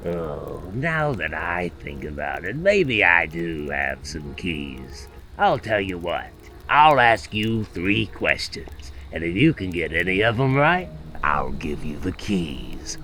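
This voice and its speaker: A man uses a put-on character voice with very deep, low pitch. He speaks at a fairly slow pace over clear background noise. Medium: short film. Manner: giggly, sing-song, toying.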